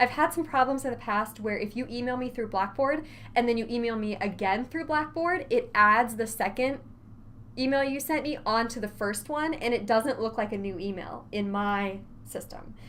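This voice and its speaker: Audible room echo surrounds a woman's voice. Her pitch is fairly high and varies in an ordinary way. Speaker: college instructor. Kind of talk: lecture. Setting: recorded online course video. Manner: fast.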